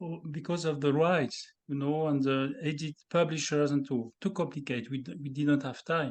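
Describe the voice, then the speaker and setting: This man talks in a French accent at a fairly slow pace. His pitch is fairly high. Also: quiet background. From France, the Alps. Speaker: composer. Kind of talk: interview about his music. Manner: halting.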